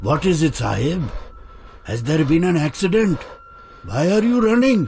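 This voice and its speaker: Using a put-on character voice, a man speaks fairly high at a moderate pace, with background noise clearly audible. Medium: read story.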